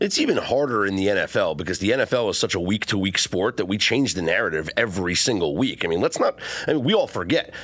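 A man with an American accent, very fast with hardly any pauses, very even in loudness, music in the background. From Nebraska. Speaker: sports analyst. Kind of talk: sports talk radio.

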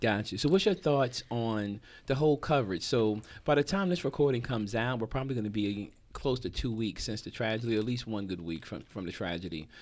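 On a very clean recording with a silent background, a man with an American accent and an ordinary speaking voice talks at a fairly quick pace and a medium pitch. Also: lively intonation. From New Jersey. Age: 40s. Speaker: podcast host, comedian. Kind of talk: casual chat.

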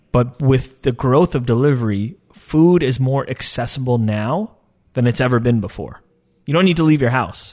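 Speaking at a moderate pace, a man has a normal speaking voice at a medium pitch with ordinary pitch variation. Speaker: tech startup founder. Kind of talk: interview.

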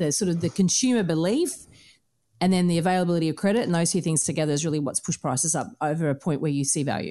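Talking at a very fast pace, a woman uses a fairly low pitch with an Australian accent. Her loudness stays very even, and her pitch varies in an ordinary way. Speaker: podcast host and buyer's agent. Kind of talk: interview.

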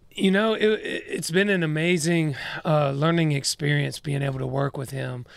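Amid noticeable background noise, a man with a fairly high voice talks at a moderate pace with ordinary pitch variation. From Georgia, US. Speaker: country singer-songwriter. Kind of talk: casual interview chat. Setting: studio.

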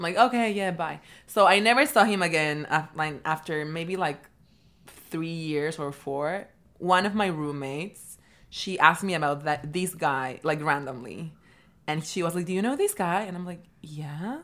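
A woman talks at a moderate pace in a Peruvian accent. Her pitch is fairly low. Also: ordinary pitch variation. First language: Spanish. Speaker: MBA student guest. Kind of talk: casual chat.

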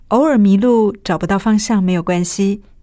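A woman speaks at a fairly slow pace and medium pitch, her tone dark and mellow and her intonation lively, on a very clean recording with a silent background. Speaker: radio host. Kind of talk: scripted narration.

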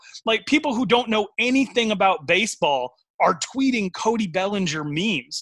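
Raised and projected, a man's high voice has a bright, sharp tone and very wide pitch swings at a moderate pace, with a dry, close sound and no echo. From Wyoming. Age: 30s. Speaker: sports podcaster. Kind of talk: casual sports debate.

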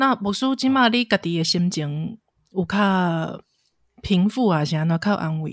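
An unremarkable speaking voice from a woman at medium pitch, fairly slow in pace with lively intonation, in a very clean, dry, close recording with no echo and a silent background. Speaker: podcast host, editor. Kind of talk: interview.

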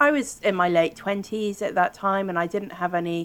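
A fairly slow pace in a British accent. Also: woman. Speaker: podcast host. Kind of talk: interview, casual chat.

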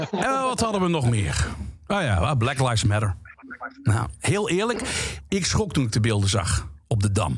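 A man talks at a moderate pace with very wide pitch swings, against noticeable background noise. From Limburg, Netherlands. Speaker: radio DJ. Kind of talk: stand-up.

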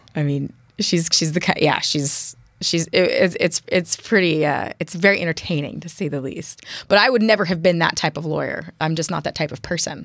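With an American accent, a woman speaks in an unremarkable speaking voice at a fairly low pitch, moderate pace and ordinary pitch variation. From US West Coast, San Francisco East Bay. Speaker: city council candidate. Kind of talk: interview. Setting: studio.

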